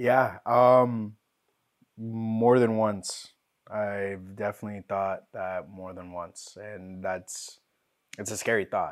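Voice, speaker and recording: Speaking very slowly with fairly even intonation, a man shows big swings in loudness on a very clean recording with a silent background. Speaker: guest sharing mental health story. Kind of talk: personal testimony in casual conversation.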